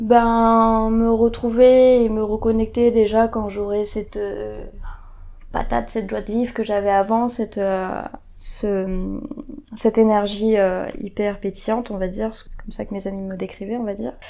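A woman's fairly high, monotone voice with flat intonation and big swings in loudness. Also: fairly slow pace. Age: 20s. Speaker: guest sharing experience of depression. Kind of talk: testimony. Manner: halting.

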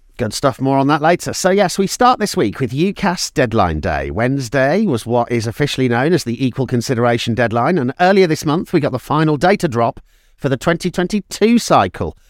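A man with a British accent talks at a fairly quick pace with hardly any pauses, his fairly high pitch making very wide swings. The recording is very clean, with a silent background and a dry, close sound with no echo. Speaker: podcast host. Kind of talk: podcast presenting.

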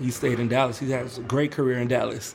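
A man with a medium-pitched voice talks at a fairly quick pace in a flat, monotone way over noticeable background noise. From New Orleans. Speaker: saxophone player. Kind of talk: interview. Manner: casual.

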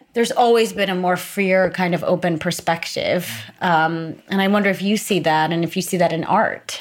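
This woman has an unremarkable speaking voice, medium in pitch, at a moderate pace with fairly even intonation. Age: 30s. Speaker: podcast host. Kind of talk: interview. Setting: studio.

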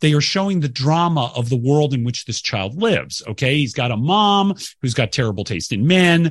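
Against a quiet background, a man with an American accent speaks at a moderate pace with hardly any pauses, somewhat breathy, his pitch swinging very widely. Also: fairly high pitch for a man. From US South, Atlanta suburbs, Georgia. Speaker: podcast guest, film enthusiast. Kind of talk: casual chat.

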